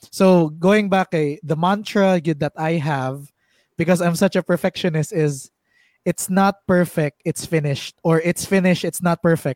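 In a very clean recording with a silent background and a dry, close sound with no echo, a man with a Visayan Filipino accent speaks at a moderate pace in a high voice with fairly even intonation. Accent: Filipino (Cebuano) English. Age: 20s. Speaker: podcast host. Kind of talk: casual chat.

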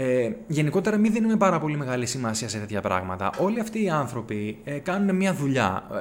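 Very wide pitch swings in a man's fairly high voice, moving at a moderate pace. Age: 30s. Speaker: podcast host. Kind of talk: solo commentary monologue.

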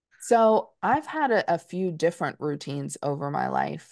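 A woman with a plain, everyday voice speaks at a fairly slow pace in an American accent, her pitch fairly low. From US Northeast, Dutchess County, New York. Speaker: diversity consultant and company co-founder. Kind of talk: interview conversation.

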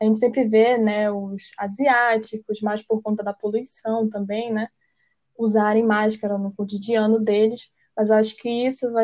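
At a moderate pace, a woman talks in a dark, mellow tone with a fairly high pitch and monotone, flat intonation. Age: 20s. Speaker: journalism student. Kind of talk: interview. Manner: hesitant, many fillers.

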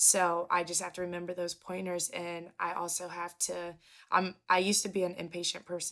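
On a very clean recording with a silent background, a woman speaks at a moderate pace. Her fairly low voice has a bright, sharp tone and monotone, flat intonation. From Kentucky, Covington. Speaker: basketball color commentator and former college player. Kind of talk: casual interview.

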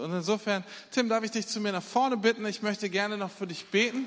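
Here a man talks with a high pitch. His pace is fairly quick. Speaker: church leader introducing the preacher. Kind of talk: introduction and prayer.

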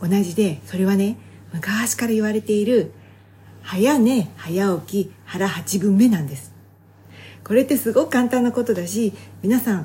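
A woman talks with lively intonation and a dark, mellow tone. Her voice is somewhat breathy. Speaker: health and beauty advisor, fitness competitor. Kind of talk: solo podcast talk. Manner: fast; casual conversational.

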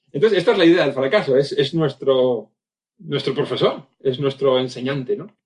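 A man speaks at a moderate pace with a fairly high pitch and a plain, everyday voice. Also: ordinary pitch variation. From Spain, Basque Country (Vitoria). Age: 50s. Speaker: communication and leadership speaker, former magician. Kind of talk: interview conversation.

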